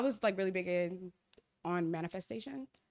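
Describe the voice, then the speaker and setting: A woman's medium-pitched voice at a very fast pace with lively intonation, on a very clean recording with a silent background. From Ghana. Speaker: talk show host, podcast guest. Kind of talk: casual chat.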